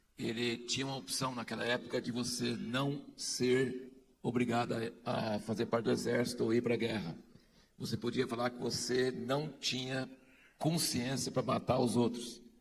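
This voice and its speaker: This man has an ordinary speaking voice at medium pitch. He keeps a moderate pace with fairly even intonation. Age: 60s. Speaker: conference speaker. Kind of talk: speech to an audience.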